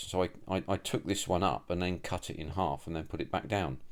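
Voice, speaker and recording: A man speaks at a moderate pace with a very deep, low pitch and vocal fry in a very clean recording with a silent background. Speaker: scale model builder. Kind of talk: tutorial. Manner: monotone; halting, many fillers.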